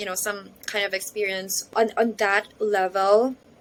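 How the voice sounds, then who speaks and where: A woman's fairly high voice is heard with noticeable background noise around it. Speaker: voice acting trainee vlogger. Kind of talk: vlog. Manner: casual code-switching.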